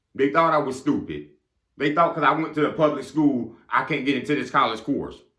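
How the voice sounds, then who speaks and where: A man speaks at a fairly quick pace with a fairly high pitch, a bright, sharp tone and audible room echo. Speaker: motivational speaker. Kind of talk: motivational monologue. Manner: fast; animated.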